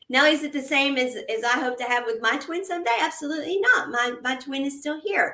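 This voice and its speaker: A woman speaks in a high, raised, projected voice at a fairly quick pace with hardly any pauses. Her pitch varies in an ordinary way, and there is noticeable background noise. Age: 50s. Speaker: podcast moderator. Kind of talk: casual chat.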